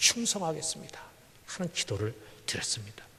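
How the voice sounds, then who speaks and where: Noticeable noise can be heard in the background. The speaker's intonation rises and falls in a lively way. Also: man. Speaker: pastor. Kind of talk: sermon.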